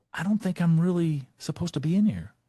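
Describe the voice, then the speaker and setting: A man with an American accent speaks in a dark, mellow, somewhat breathy tone against a quiet background. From Texas. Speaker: leadership speaker. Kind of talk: motivational talk.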